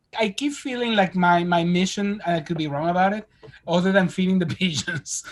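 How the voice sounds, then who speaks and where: Over noticeable background noise, a man talks at a fairly quick pace with a high pitch and ordinary pitch variation. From Spain. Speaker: screenwriter and director. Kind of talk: podcast interview answer. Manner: casual, conversational.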